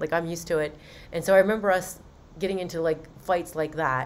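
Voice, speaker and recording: A woman with an American accent talks at a very fast pace. Her pitch is fairly low and her intonation monotone and flat. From Western Maryland, US. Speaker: podcast host telling her own story. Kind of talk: personal testimony. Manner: casual, conversational with fillers.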